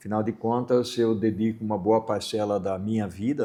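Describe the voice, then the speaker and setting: Over a quiet background, a man with a dark, mellow tone and fairly low pitch speaks at a fairly slow pace in a monotone, flat intonation. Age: 60s. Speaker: supply chain consultant and educator. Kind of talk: interview. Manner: halting with fillers.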